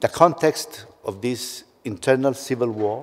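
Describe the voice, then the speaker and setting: Fairly high-pitched male speech with ordinary pitch variation. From Colombia. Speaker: judge; conference panelist. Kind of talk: conference panel talk. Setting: conference stage with audience. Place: hall. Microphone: podium.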